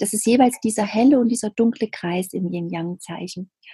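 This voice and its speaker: The sound is dry and close with no echo as a woman speaks at a fairly high pitch. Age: 30s. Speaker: spiritual medium and coach. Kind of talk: interview about spirituality.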